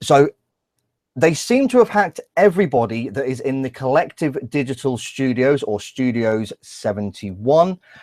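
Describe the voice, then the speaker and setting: With an English accent, a man talks at a moderate pace and medium pitch, his intonation lively, the sound dry and close with no echo. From England. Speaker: YouTuber. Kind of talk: live stream commentary. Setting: live stream with screen share. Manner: halting.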